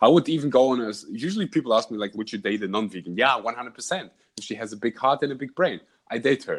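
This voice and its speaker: Delivered at a very fast pace in a German accent, the speech has lively intonation over a quiet background. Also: man, medium pitch for a man. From Germany. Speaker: podcast host and vlogger. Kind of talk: casual interview chat.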